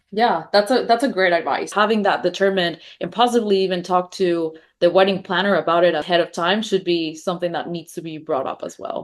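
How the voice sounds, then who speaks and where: A woman speaks at a fairly quick pace with a Spanish accent, hardly pausing. Her pitch is medium, with ordinary variation. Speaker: podcast host, wedding business owner. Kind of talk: podcast interview.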